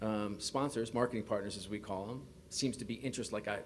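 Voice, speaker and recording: Talking at a very fast pace, a man with a New York accent keeps his intonation fairly even. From US, New York. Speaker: sports league executive. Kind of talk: press conference. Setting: press conference podium.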